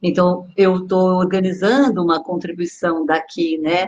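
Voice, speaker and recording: A woman's medium-pitched, fairly slow delivery in an ordinary speaking voice. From Brazil, São Paulo. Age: 60s. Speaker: body therapist. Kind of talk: online dialogue / talk.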